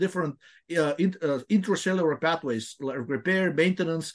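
A man's fairly quick, lively-toned delivery against a quiet background. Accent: Bulgarian. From Bulgaria. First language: Bulgarian. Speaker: health researcher. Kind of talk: interview. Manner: halting.

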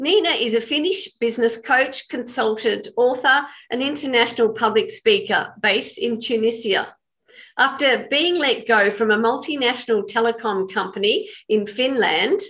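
Against a quiet background, the speaker uses an Australian accent, a moderate pace and lively intonation. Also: woman, high pitch for a woman. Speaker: podcast host. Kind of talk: interview.

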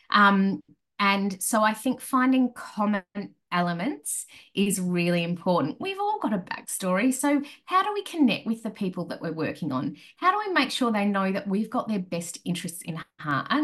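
Lively intonation marks a woman's medium-pitched voice. She speaks at a moderate pace with an Australian accent. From rural Australia. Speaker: crisis management consultant. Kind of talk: interview. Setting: remote call.

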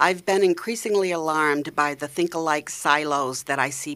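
A woman's very deep, low voice in a New England accent, with ordinary pitch variation and a fairly quick pace. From Maine, US. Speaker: arts organization founder and sculptor. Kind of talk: casual radio interview.

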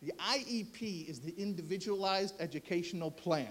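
With an American accent, a man speaks in lively intonation. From United States. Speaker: rabbi and columnist. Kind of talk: speech. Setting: stage with audience. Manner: animated.

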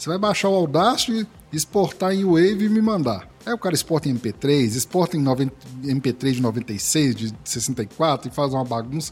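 Somewhat breathy and at a fairly slow pace, the voice moves through very wide pitch swings. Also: man, fairly high pitch for a man. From Minas Gerais, Brazil. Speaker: podcast host and editor. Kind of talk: casual interview chat.

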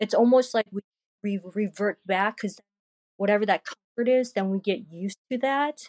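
A woman with an ordinary speaking voice, medium pitch, and ordinary pitch variation talks at a moderate pace in a dry, close sound with no echo. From Korea, moved to US at age eight. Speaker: artist and digital creator. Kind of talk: casual interview chat.

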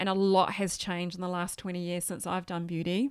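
A fairly quick delivery with an Australian accent, on a very clean recording with a silent background. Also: woman. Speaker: skincare distributor. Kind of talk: interview.

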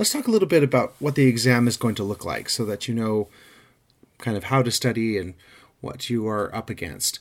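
In a normal speaking voice, a man talks at a fairly quick pace with medium pitch and ordinary pitch variation. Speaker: exam prep instructor. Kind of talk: lecture. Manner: methodical.

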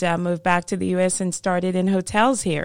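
In a very clean recording with a silent background, a woman's speech moves at a moderate pace. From Jamaica, rural. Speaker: hospitality consultant, author and nonprofit founder. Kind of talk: interview. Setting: studio.

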